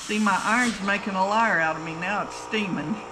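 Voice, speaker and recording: Fairly slow female speech with ordinary pitch variation against noticeable background noise. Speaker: sewing instructor. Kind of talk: tutorial. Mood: relaxed, cheerful.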